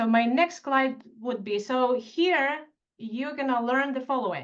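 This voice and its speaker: In a Russian accent, a woman with a high pitch talks at a moderate pace. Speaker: tax expert. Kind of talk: webinar presentation. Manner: animated.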